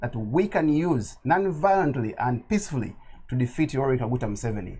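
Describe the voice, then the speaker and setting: A man speaks at a fairly quick pace with very wide pitch swings. His voice is somewhat breathy with a dark, mellow tone. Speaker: political activist. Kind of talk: interview. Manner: impassioned.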